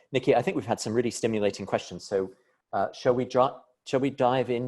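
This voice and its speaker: A man with an American accent. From United States. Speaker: business professor. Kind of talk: panel discussion. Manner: halting, many repetitions.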